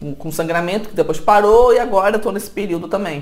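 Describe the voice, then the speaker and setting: There is noticeable background noise. Through it, a woman speaks with lively intonation. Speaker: health vlogger. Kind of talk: personal testimony vlog. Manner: hesitant with repetitions.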